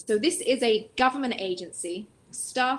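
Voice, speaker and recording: Here a woman speaks with an English accent. Her pitch variation is ordinary. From England, London. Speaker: non-profit executive director. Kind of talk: interview.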